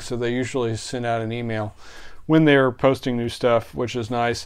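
Intonation stays fairly even as a man talks. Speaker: video host. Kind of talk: casual vlog chat. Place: home room. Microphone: phone near.

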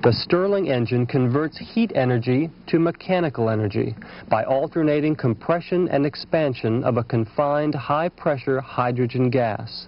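A man with a medium-pitched voice speaks in a dramatic tone at a moderate pace, with hardly any pauses, very even loudness, ordinary pitch variation and noticeable background noise. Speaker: film narrator. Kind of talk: 1980s industrial film narration. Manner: formal, polished, dramatic and measured; authoritative, steady documentary cadence.

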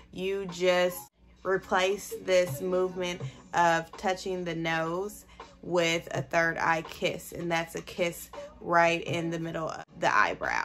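Over faint music in the background, a woman speaks very slowly in a fairly low voice with flat, monotone intonation. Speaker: mother / content creator. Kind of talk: casual talk to camera. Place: home room. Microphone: phone near.

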